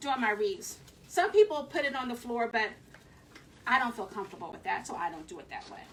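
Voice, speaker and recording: A woman speaks at a fairly quick pace in a high voice with a slight Southern US accent, her pitch swinging very widely, with long, frequent pauses. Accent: slight Southern twang. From Philadelphia. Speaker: craft video host. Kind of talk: live craft tutorial.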